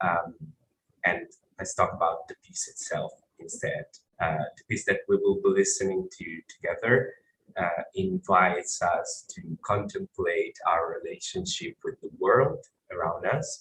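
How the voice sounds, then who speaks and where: A man with an Italian accent speaks at a fairly slow pace, his loudness swinging widely. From Italy, Tuscany. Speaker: composer. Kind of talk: presentation of own work.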